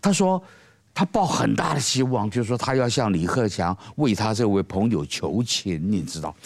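A man's fairly low voice with vocal fry and very wide pitch swings, at a moderate pace. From Taiwan. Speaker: political commentator. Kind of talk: panel discussion.

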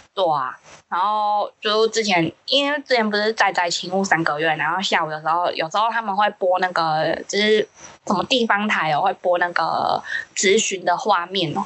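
With a normal speaking voice, the woman talks at a medium pitch and moderate pace with ordinary pitch variation. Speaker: podcast co-host. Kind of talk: casual chat.

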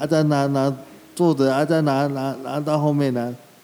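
A man's fairly high-pitched voice with fairly even intonation and music in the background. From Taiwan, Shuangxi (New Taipei). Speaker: street vendor, wheelchair user. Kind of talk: interview.

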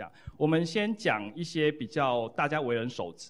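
A man talks with lively intonation. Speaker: psychology professor, book co-author. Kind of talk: lecture and Q&A at book launch. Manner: repetitive fillers, halting.

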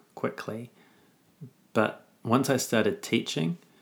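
Over a silent background in a very clean recording, a man with a New Zealand accent speaks very slowly at a fairly low pitch. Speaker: teacher. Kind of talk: casual chat.

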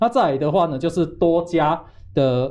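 At a moderate pace, a man talks in a fairly high pitch with a dark, mellow tone. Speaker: chip analysis investor. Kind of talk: financial talk show, explaining.

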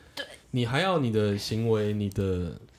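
Against noticeable background noise, a man with a Taiwanese accent speaks at a fairly slow pace. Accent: Taiwanese Mandarin. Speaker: married man sharing his life. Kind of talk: casual chat.

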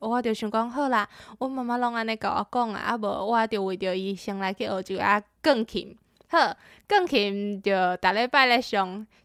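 A woman's fairly high voice carries a bright, sharp tone in a very clean recording with a silent background. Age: 20s. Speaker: university student. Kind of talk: prepared personal story.

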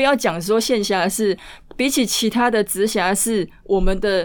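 A woman speaks at a moderate pace in a medium pitch, captured in a very clean recording with a silent background. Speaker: legislator's district office director. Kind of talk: political interview. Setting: studio, speaking with face mask behind partition.

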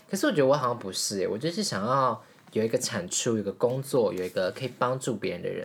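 Very fast speech comes from a woman with a very deep, low voice. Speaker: podcast host. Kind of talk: casual chat. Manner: animated.

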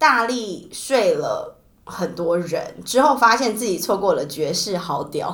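A woman's fairly high voice with very wide pitch swings, at a fairly slow pace in audible room echo. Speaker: podcast host. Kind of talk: casual chat.

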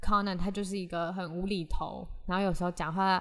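A woman speaks at a moderate pace with a medium pitch. The recording is very clean, with a silent background. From Taiwan, Hsinchu. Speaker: podcast host. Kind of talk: solo podcast monologue. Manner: chatty, code-switching with English.

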